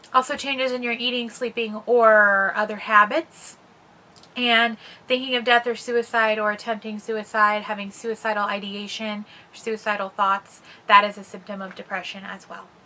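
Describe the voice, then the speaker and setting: Bright and sharp, a woman's fairly high voice keeps fairly even intonation while her loudness swings a lot. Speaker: mental health vlogger. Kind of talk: casual explainer vlog. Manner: fast.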